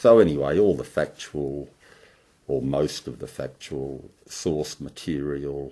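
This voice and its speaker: Speaking at a fairly slow pace with an Australian accent, a man uses a very deep, low pitch touched with vocal fry. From Melbourne, Australia. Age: 60s. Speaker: oral historian. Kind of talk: oral history monologue. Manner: halting.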